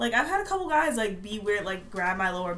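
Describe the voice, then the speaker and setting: Someone speaks very fast with an American accent, with audible room echo and noticeable background noise. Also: woman. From Maryland, Baltimore area. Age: 20s. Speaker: college student. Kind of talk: casual chat. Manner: quiet at first.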